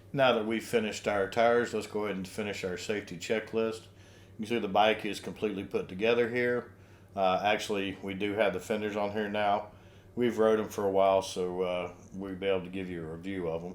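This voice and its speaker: Fairly quick and fairly low-pitched, a man speaks with fairly even intonation in a plain, everyday voice. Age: 60s. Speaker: RV lifestyle vlogger. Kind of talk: product tutorial. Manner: casual, with fillers.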